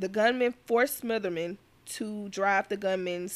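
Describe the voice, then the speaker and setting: With an Alabama accent, a woman speaks at a fairly slow pace. Her tone is animated. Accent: US Southern, Alabama. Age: 20s. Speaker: true crime podcaster and student. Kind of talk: casual narration of a crime case.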